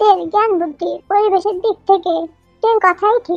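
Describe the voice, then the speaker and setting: A put-on, squeaky character voice moves at a moderate pace. The sound is dry and close with no echo, and music plays in the background. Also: woman, extremely high pitch for a woman. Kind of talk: audio fan-fiction reading. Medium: read story.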